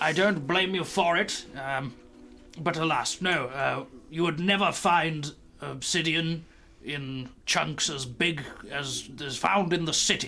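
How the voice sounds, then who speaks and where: Using a put-on character voice, a man speaks at a fairly high pitch and a fairly slow pace. Background noise is clearly audible. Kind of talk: fantasy game character voice. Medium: actual play. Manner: rambling, pedantic.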